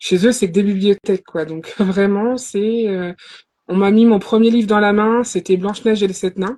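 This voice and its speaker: With a dark, mellow tone, a woman speaks at a medium pitch and a moderate pace, her intonation fairly even. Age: 30s. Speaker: novelist. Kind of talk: live interview.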